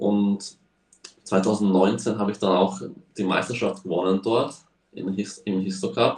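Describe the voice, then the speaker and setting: Speaking at a very slow pace with long, frequent pauses, this man has a fairly low pitch and a monotone, flat intonation. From Slovakia. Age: young. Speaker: racing driver. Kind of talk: casual interview. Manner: halting.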